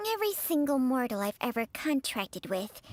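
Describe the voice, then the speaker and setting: A female-sounding voice in a put-on character voice talks at a fairly quick pace with a high pitch. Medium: video game.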